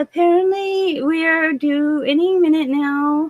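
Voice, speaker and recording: A woman with an American accent. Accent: southern US accent showing when tired. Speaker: gaming livestreamer. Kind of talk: casual livestream chat.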